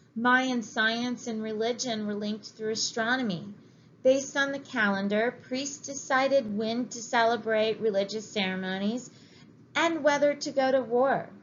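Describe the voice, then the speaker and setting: In a room with audible echo, a woman speaks at a moderate pace, her fairly high voice showing ordinary pitch variation. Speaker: history teacher. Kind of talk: lecture. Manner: reading from text.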